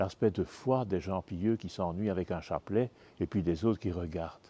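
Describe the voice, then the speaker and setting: A man's very deep, low voice with a dark, mellow tone, moderate pace and ordinary pitch variation, dry and close with no echo, over a quiet background. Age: 70s. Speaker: bishop. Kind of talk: interview.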